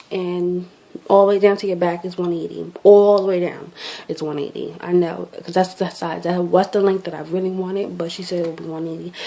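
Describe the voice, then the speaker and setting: Delivered at a fairly quick pace, the voice stays monotone and flat while its loudness swings widely against noticeable background noise. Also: woman, fairly low pitch for a woman. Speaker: beauty vlogger. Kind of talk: casual product review vlog. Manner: fast.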